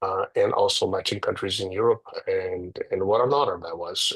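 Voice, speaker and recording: Speaking at a moderate pace, a man talks with a Portuguese accent. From Brazil, Rio de Janeiro. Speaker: real estate agent and former music producer. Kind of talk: interview. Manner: halting.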